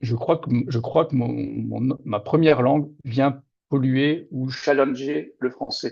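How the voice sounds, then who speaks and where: Medium-pitched man at a very slow pace, with fairly even intonation. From Moselle-Est, Lorraine, France. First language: Lorraine Franconian (Platt) (speaking French). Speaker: novelist. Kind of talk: interview. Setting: video call.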